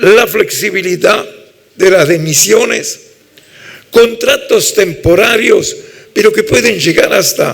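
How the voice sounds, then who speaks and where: A man with an Italian accent at a very slow pace, with audible room echo and noticeable background noise. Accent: Italian-tinged Spanish. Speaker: labour law professor. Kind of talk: lecture.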